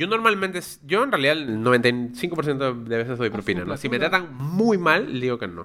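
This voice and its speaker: A man with a fairly high pitch speaks at a fairly slow pace, with very wide pitch swings and hardly any pauses. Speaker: podcast co-host. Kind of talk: casual chat.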